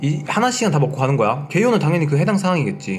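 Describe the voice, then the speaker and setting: A man with lively intonation at a fairly quick pace, amid audible room echo and noticeable background noise. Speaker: online lecturer for railway safety law exam. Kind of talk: lecture. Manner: fast; casual, mixing polite and plain speech.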